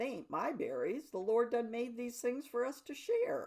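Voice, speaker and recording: This woman uses a put-on character voice, high in pitch, with lively intonation at a moderate pace. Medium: read story. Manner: folksy, warm.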